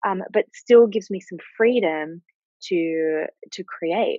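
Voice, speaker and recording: A woman speaks with an Australian accent and a lively, varied intonation. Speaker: money mindset coach and author. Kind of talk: interview.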